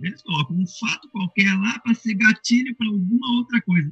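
This is a man speaking. His pitch sits high. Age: 50s. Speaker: online shop owner, fan. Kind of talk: casual panel discussion. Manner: hesitant, with many fillers.

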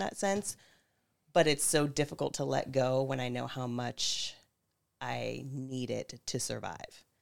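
A woman talks at a fairly slow pace in a very clean recording with a silent background. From Northern California (Napa County). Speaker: manager. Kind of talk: casual conversation.

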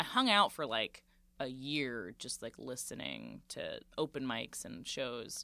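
A woman with an American accent. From Central Florida. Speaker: comedian. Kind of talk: casual chat.

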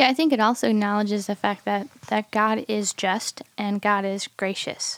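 In a dry, close recording with no echo, a woman with a normal speaking voice talks at a moderate pace, her medium pitch following fairly even intonation. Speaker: podcast host. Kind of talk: casual podcast conversation.

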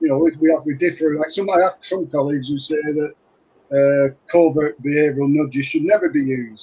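The speaker keeps a moderate pace with hardly any pauses, a somewhat breathy voice and fairly even intonation. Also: man, fairly high pitch for a man. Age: 60s. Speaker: retired clinical psychologist. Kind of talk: interview. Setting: video call. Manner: halting, with repetitions.

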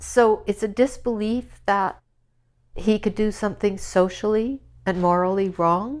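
A woman speaks at a fairly slow pace with fairly even intonation, in a Canadian Prairies accent. The background is quiet. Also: medium pitch for a woman. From Saskatchewan, Canada. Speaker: mother of a prisoner. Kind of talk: personal interview testimony.

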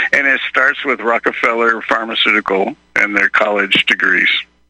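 A man with an American accent talks at a moderate pace in dry, close sound with no echo. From Texas. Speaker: caller. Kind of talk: call-in rant, conspiratorial. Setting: phone call. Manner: folksy, rambling, indignant.

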